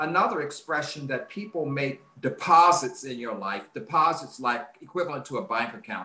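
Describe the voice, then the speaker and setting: Noticeable noise fills the background. A man speaks at moderate speed. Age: 70s. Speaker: author. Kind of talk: interview.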